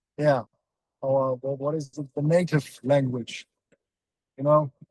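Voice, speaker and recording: A man with a German accent speaks fairly slowly in a fairly high pitch. His intonation is monotone and flat, and the sound is dry and close with no echo. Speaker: metal band member. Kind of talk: casual interview. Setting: in a moving van. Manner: halting.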